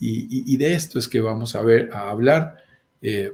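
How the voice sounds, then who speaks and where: A man speaks with a Colombian accent in a dark, mellow, somewhat breathy tone. His pitch swings very widely. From Colombia, mountain region. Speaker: real estate investment host. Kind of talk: live stream talk show.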